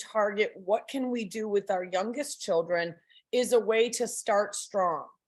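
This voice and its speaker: With a normal speaking voice, a woman talks at a fairly slow pace, her pitch fairly high and ordinary in its variation. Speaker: parent trainer. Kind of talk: lecture.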